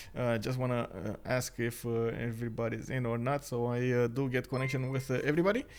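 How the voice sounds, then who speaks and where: The man's pitch is medium, and his intonation stays fairly even. He speaks very fast, with hardly any pauses. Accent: non-native. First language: not English. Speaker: game caster and streamer. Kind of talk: live game commentary stream. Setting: live stream. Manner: hesitant, many filler words.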